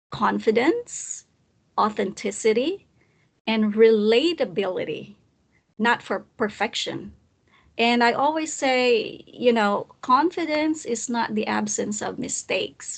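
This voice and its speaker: Speaking at a very slow pace, a woman has a fairly high pitch. Her intonation is lively. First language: not English. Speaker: presentation skills coach. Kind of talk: live online talk. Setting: recorded live session. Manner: hesitant, with fillers and restarts.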